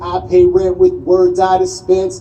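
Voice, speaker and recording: A man with an American accent talks fairly slowly while noticeable background noise carries on. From Southwestern US. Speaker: poet. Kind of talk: slam poetry performance.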